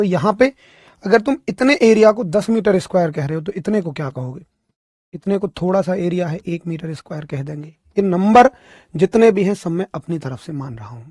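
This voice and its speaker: Speaking at a moderate pace, this man has a high pitch and lively intonation. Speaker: physics teacher. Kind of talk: lecture. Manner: not loud.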